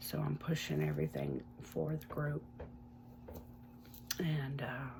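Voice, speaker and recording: Noticeable background noise runs under the clip. A woman speaks at a very slow pace. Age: 50s. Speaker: recovery vlogger and online support group founder. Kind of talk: casual personal vlog. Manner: hesitant, many fillers.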